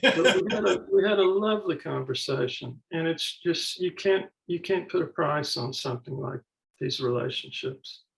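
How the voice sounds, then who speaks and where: Lively in intonation, a man with a Mississippi accent and high pitch speaks at a moderate pace. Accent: Mississippi Southern. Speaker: author and professor. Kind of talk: panel conversation.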